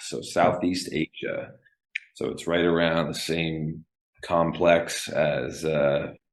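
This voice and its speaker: A very slow pace with big swings in loudness and audible room echo. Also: man. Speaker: social media influencer. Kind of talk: casual interview. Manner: calm.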